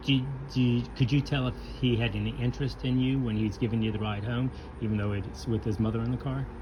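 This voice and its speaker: Over noticeable background noise, a man with an American accent talks at a very fast pace and medium pitch. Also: ordinary pitch variation. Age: 60s. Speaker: son interviewing his mother. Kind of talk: family oral history interview.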